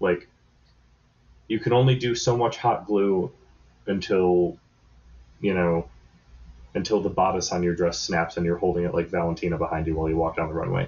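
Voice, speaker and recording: A man with a very deep, low voice speaks at a moderate pace with ordinary pitch variation and long, frequent pauses. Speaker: podcast guest host. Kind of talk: casual chat. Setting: remote recording.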